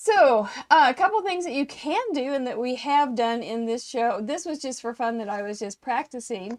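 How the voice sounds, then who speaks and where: A loud, high-pitched woman's voice at a moderate pace, with lively intonation and hardly any pauses. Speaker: craft teacher. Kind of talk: live craft tutorial. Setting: live stream with small in-person audience. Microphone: too quiet, microphone changed mid-show.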